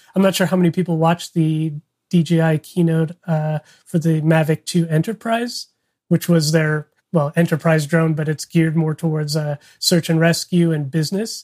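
An unremarkable speaking voice at a moderate pace, with fairly even intonation and a dry, close sound free of echo. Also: man, fairly high pitch for a man. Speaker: photographer and filmmaker. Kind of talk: casual chat.

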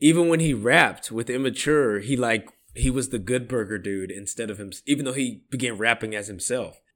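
On a very clean recording with a silent background, a man in an American accent talks at a fairly quick pace, with a medium pitch and ordinary pitch variation. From Sacramento area, California. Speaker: podcast co-host. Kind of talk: casual chat. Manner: animated.

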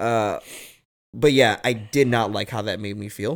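In a very clean recording with a silent background, a man talks at a moderate pace with a fairly low pitch. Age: 30s. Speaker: podcast host. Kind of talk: casual chat. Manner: loud.

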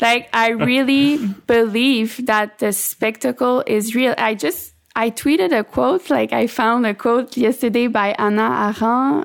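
Speaking fairly slowly with a French accent, a woman uses a fairly high pitch. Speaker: author and literary translator. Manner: halting, hesitant with fillers.

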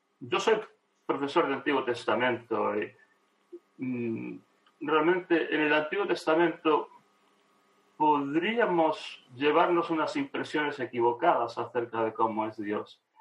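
Very slow and broken by long, frequent pauses, a man's speech has a fairly high pitch and lively intonation. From Argentina. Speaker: theology professor. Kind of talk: interview conversation.

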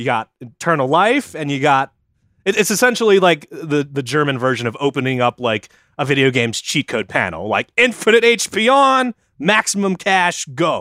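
A man at a moderate pace, his pitch swinging very widely, in a dry, close sound with no echo. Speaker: podcast co-host. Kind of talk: casual comedic chat, storytelling.

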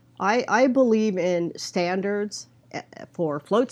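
A woman has an ordinary speaking voice, medium in pitch. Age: 60s. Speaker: float tank business consultant. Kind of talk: interview.

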